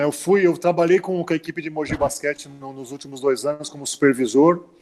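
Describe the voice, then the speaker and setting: A man's voice with ordinary pitch variation. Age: 60s. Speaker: former basketball player. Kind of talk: interview. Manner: halting, many repetitions.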